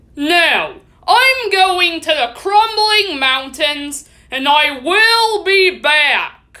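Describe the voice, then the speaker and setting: A woman uses a put-on character voice pitched extremely high, speaking at a very slow pace. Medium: read story. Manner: blunt, dismissive.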